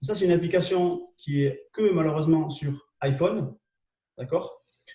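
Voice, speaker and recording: This man's voice sits high in pitch. Its tone is dark and mellow. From southwest France. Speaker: LinkedIn trainer and live show host. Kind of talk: live webinar tutorial. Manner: hesitant, many fillers and repetitions.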